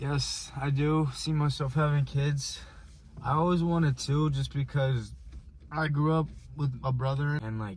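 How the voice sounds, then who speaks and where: At a fairly slow pace, a man speaks somewhat breathy in a fairly high pitch with fairly even intonation. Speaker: vlogger. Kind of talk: casual chat. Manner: halting.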